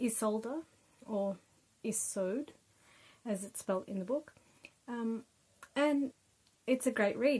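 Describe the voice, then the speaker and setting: A woman with an Australian accent speaks at a very slow pace with ordinary pitch variation. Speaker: book reviewer, YouTuber. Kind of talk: casual book review. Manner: hesitant, many fillers.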